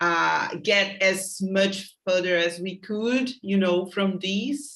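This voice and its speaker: Bright and sharp in tone, a woman with a Portuguese accent speaks at a medium pitch with ordinary pitch variation. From Brazil. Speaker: host. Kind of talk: interview.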